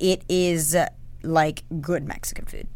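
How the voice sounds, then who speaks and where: The recording is very clean, with a silent background. A woman speaks in a fairly low voice with an animated tone. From US South, Atlanta area, Georgia. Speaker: travel podcast co-host. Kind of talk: casual chat. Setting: studio.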